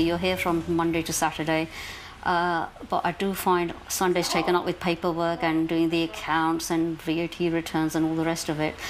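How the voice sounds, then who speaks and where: Noticeable background noise sits behind a woman with a fairly low pitch. She talks at a fairly quick pace in a monotone, flat intonation. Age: 60s. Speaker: small business owner. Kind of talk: interview testimony.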